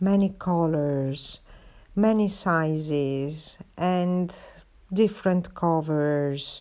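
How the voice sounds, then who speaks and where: A woman's fairly low, dark, mellow voice with an Italian accent, a very slow pace and ordinary pitch variation, on a very clean recording with a silent background. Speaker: podcaster, artist. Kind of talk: casual monologue. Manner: hesitant, many fillers.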